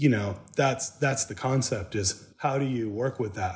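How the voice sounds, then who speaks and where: In a very clean recording with a silent background, a man with an American accent speaks at a moderate pace. His voice is somewhat breathy, his intonation fairly even. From Michigan, Saginaw. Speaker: tattoo artist. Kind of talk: casual interview. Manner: halting.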